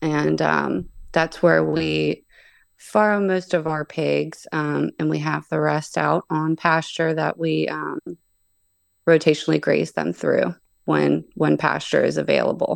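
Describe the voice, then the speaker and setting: A woman with an American accent at a fairly slow pace, dry and close with no echo, against a quiet background. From western Pennsylvania, Pittsburgh. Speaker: pig farmer. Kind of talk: casual interview.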